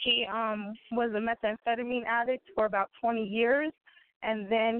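A woman's plain, everyday voice, fairly high in pitch, with fairly even intonation at a moderate pace. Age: 30s. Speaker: nurse and prisoner's daughter. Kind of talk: testimony.

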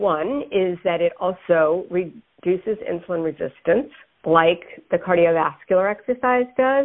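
An unremarkable speaking voice carries lively intonation at a fairly slow pace. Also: woman, medium pitch for a woman. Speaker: dietitian and diabetes educator. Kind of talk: interview.

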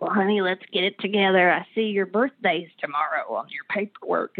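This raspy, female-sounding voice is a put-on character voice at medium pitch for a woman. It moves along at a fairly quick pace. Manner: warm, blunt.

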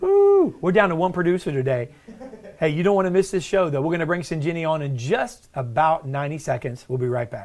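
With lively intonation and an animated tone, a man at a fairly high pitch talks at a fairly quick pace over noticeable background noise. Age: 40s. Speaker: podcast host and company CEO. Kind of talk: casual chat. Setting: office. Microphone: backup system with echo and delay.

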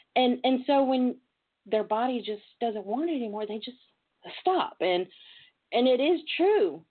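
With a Southern US accent, a woman talks at a fairly slow pace in a high voice, her pitch swinging very widely between long, frequent pauses. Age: 40s. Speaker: talk show host. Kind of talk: casual talk show chat. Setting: internet radio with callers. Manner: animated.

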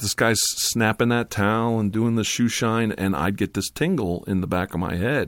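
Speaking at a moderate pace with hardly any pauses, a man uses a normal speaking voice at medium pitch with ordinary pitch variation, in a dry, close sound with no echo on a very clean recording with a silent background. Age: 50s. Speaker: ASMR YouTuber. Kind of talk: casual chat. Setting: studio.

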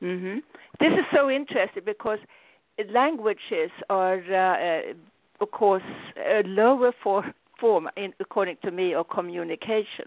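With a non-native accent, a woman of medium pitch talks at a moderate pace with lively intonation and long, frequent pauses. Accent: foreign-accented English. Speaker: spiritual teacher and radio host. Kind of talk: call-in radio talk.

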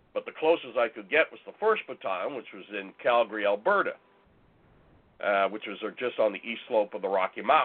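A man with a Canadian accent, big swings in loudness and a fairly quick pace. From northern Ontario, Canada. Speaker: Bigfoot researcher and author. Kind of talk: interview.

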